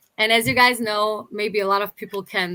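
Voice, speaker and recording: A woman speaks at a fairly quick pace in a bright, sharp tone. The recording is very clean, with a silent background. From Germany, Berlin. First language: Turkish and German. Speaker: YouTuber. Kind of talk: interview.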